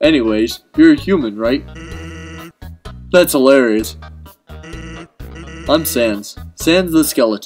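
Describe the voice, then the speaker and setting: With faint music in the background, a man at a medium pitch speaks very slowly in a put-on character voice. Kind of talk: casual gaming commentary. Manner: laid-back, lazy.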